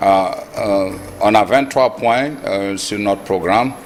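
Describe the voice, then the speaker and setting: Through noticeable background noise, a man speaks at a very slow pace with fairly even intonation. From Senegal. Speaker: presidential candidate, politician. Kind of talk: TV interview. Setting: TV studio. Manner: halting.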